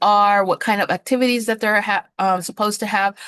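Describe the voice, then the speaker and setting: A woman speaks at a fairly high pitch in a monotone, flat intonation. The background is quiet and the sound dry and close, with no echo. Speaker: nursing assistant instructor. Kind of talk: lecture. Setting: video call. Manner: many filler words.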